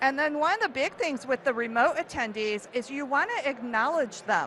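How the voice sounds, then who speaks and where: With an American accent, a woman speaks in a high pitch at a moderate pace, her tone animated and her pitch swinging very widely. Noticeable background noise sits behind her. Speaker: event marketing speaker. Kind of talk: conference talk.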